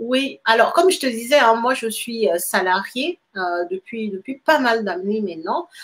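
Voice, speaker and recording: A woman speaks at a fairly slow pace with a fairly high voice. Her pitch swings very widely. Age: 30s. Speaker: real estate investor and engineer. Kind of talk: interview. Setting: live stream.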